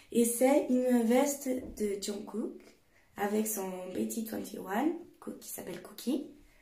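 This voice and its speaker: A woman speaks at a very slow pace with long, frequent pauses, her fairly high pitch showing ordinary variation and her tone dark and mellow. Her loudness swings widely, and audible room echo fills the recording. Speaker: YouTuber. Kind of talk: show-and-tell vlog.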